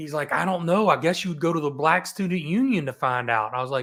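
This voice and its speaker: Animated and bright, with a sharp tone, a man with a Southern US accent talks at a fairly quick pace with lively intonation. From US South (Roanoke, Virginia, Appalachia; then Tampa). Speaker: real estate investor, podcast guest. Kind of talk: casual interview storytelling. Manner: animated, with false starts.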